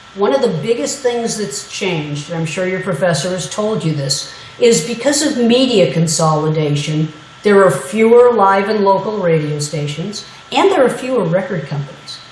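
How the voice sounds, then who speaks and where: Over noticeable background noise and audible room echo, a woman speaks at a medium pitch. Her pace is moderate and her intonation lively. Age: 60s. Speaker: media historian and former radio music director. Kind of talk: guest lecture. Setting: classroom lecture. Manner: animated, conversational.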